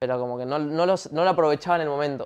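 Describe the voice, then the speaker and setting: Very fast speech from a man, fairly high in pitch. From Paraguay, Asunción; Paraguay. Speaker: singer; guest. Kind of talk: casual interview chat. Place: studio.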